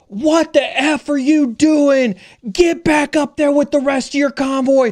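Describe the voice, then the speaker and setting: Shouting in a put-on character voice, a man speaks at a fairly slow pace with an extremely high pitch. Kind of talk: military, profane. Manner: yelling, aggressive.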